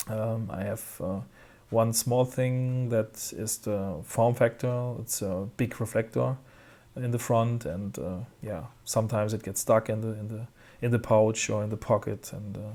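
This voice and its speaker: In a German accent, a man speaks at a medium pitch and a fairly slow pace with fairly even intonation and a dark, mellow tone. The recording is very clean, with a silent background. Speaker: tech reviewer. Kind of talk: product review. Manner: halting, many fillers.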